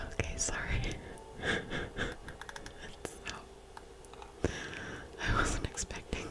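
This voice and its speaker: A woman whispers at a very slow pace, leaving long, frequent pauses, over noticeable background noise. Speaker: ASMR creator. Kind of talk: ASMR gameplay commentary. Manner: whispered.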